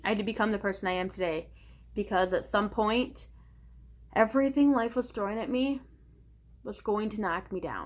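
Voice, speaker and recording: A woman's medium-pitched voice with vocal fry, a moderate pace, ordinary pitch variation and long, frequent pauses. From small town. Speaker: vlogger. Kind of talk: casual personal monologue to camera.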